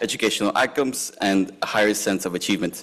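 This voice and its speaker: A man with fairly low pitch, ordinary pitch variation and a very fast pace on a very clean recording with a silent background. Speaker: substitute teacher and program coordinator. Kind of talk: public comment reading prepared statement. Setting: school board meeting. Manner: halting.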